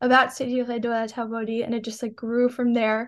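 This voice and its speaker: A woman with a New York accent talks very fast in a fairly high, flat monotone against a quiet background. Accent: New York American. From New York, Long Island. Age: young. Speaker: student and nonprofit founder. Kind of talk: interview.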